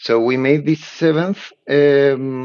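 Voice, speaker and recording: Spanish-accented male speech. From Chile. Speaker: board game designer and publisher. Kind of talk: interview. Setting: remote call. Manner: halting, many fillers and repetitions.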